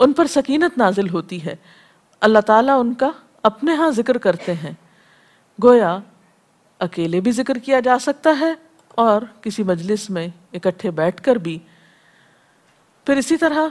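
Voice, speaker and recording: With very wide pitch swings, a woman talks at a fairly high pitch. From Pakistan. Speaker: Islamic scholar and preacher. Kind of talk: religious lecture.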